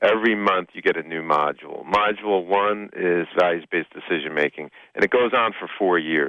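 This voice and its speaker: A man with a New Jersey accent speaks at a very deep, low pitch with ordinary variation. He moves at a fairly quick pace with hardly any pauses. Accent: New Jersey twang. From Hoboken, New Jersey, US. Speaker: business coach and speaker. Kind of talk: radio interview. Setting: radio studio.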